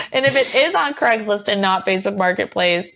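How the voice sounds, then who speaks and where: A woman with an American accent has a plain, everyday voice at medium pitch. She speaks at a moderate pace. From US Northeast, Boston area. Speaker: punk band member. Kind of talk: casual interview chat.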